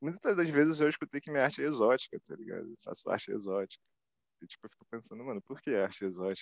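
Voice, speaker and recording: A very fast man's voice, fairly high, with very wide pitch swings and big swings in loudness, in a dry, close sound with no echo. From Brazil, Rio de Janeiro West Zone. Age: 20s. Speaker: self-taught visual artist. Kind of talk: interview. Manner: casual slang-heavy.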